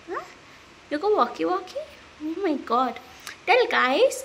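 A woman uses a raised, projected voice at a fairly slow pace. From India, Mumbai. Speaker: vlogger. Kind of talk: personal vlog and life story. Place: home room. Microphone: phone near.

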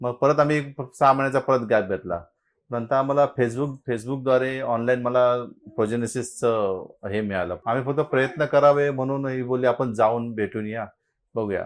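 This man's pitch is medium, with ordinary pitch variation. He has a plain, everyday voice. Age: 50s. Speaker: fertility patient. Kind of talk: testimony.

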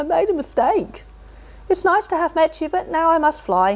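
Squeaky and extremely high-pitched, a woman performs a put-on character voice. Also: moderate pace. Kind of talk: reading a picture book aloud. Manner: spluttering, fearful.

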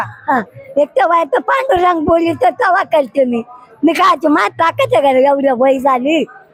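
A woman's high voice with lively intonation and very even loudness, over noticeable background noise. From Shirur, Maharashtra. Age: 80s+. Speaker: warkari pilgrim. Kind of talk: interview answer.

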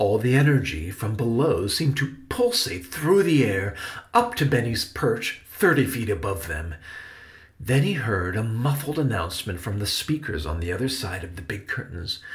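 Somewhat breathy, a man speaks at medium pitch with very wide pitch swings. His pace is moderate. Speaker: author and audiobook narrator. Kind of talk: children's audiobook narration.

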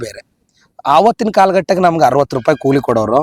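In a dry, close sound with no echo, a man with a plain, everyday voice speaks at a fairly high pitch with lively intonation. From Raichur district, north Karnataka. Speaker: theatre and film actor. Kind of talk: interview storytelling.

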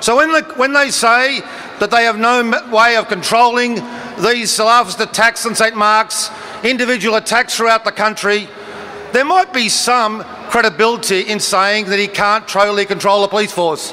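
The voice is raised and projected, moving at a moderate pace with fairly even intonation over light background noise. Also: man, high pitch for a man. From Australia. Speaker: politician addressing a protest rally. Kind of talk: parliamentary-style political oratory at a protest rally. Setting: outdoor rally with crowd. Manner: forceful, declamatory; formal, measured, argumentative. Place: street. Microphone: podium.

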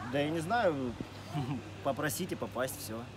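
A man's voice amid noticeable background noise. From Rostov-on-Don, Russia. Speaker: wakeboard rider and coach. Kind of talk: interview answers. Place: open country.

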